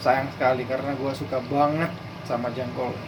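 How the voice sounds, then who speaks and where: Noticeable background noise runs under the recording. A man speaks with fairly even intonation. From Netherlands. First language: Dutch (speaking Indonesian). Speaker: cooking vlogger. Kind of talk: casual cooking vlog.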